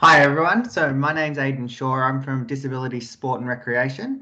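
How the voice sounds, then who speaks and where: With music in the background, a man in an Australian accent speaks at a moderate pace with fairly even intonation. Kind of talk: webinar presentation.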